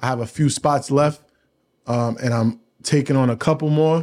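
In an American accent, a man speaks at a fairly high pitch. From New York. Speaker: podcast host. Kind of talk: casual chat.

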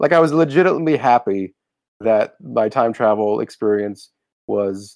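A man at medium pitch with lively intonation and a moderate pace. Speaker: podcast host. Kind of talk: casual chat.

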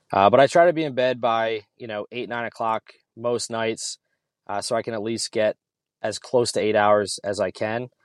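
On a very clean recording with a silent background, a man with an American accent uses a normal speaking voice at medium pitch, a moderate pace and ordinary pitch variation. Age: 30s. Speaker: gym owner and army fitness coordinator. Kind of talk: casual chat.

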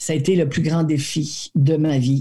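In a very deep, low register, a woman speaks with a dark, mellow tone and flat, monotone intonation. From New Brunswick, Acadia. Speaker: actress. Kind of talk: interview.

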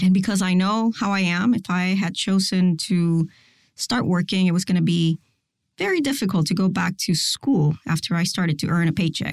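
Somewhat breathy speech at a moderate pace keeps very even loudness and ordinary pitch variation, on a very clean recording with a silent background. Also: woman, medium pitch for a woman. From Puerto Rico. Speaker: forensic DNA scientist. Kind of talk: interview.

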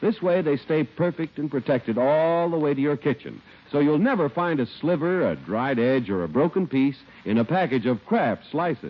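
A plain, everyday voice from a man, fairly high in pitch, with lively intonation, very even loudness and moderate pace. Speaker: radio announcer. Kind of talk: scripted radio commercial and announcement reading. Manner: smooth, polished, upbeat, formal salesman delivery.

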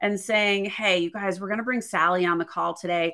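In an American accent, a woman speaks with a bright, sharp tone. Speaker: leadership coach and speaker. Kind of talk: interview. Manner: animated.

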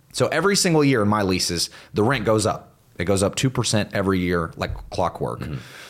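A man with fairly low pitch uses an ordinary speaking voice, with lively intonation. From US South, Northwest Florida near Pensacola. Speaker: entrepreneur and real estate investor. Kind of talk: podcast interview. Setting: host's home.

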